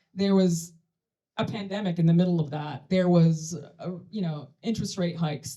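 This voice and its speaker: A woman speaks at a moderate pace in a fairly low, somewhat breathy voice. Her tone is dark and mellow, with ordinary pitch variation. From Sudan. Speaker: tech company CEO and co-founder. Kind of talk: conference panel talk.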